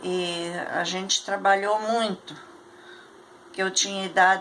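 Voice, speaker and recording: Against noticeable background noise, a woman speaks at a fairly slow pace with a medium pitch and fairly even intonation. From Rio Grande do Sul, Brazil (Candelária). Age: 80s+. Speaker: elderly interviewee recounting life history. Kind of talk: oral history interview.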